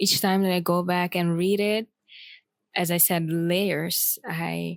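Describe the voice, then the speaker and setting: A woman speaks with a non-native accent. Her fairly low voice stays flat and monotone. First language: not English. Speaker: poet and author. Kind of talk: personal vlog. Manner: halting, many fillers.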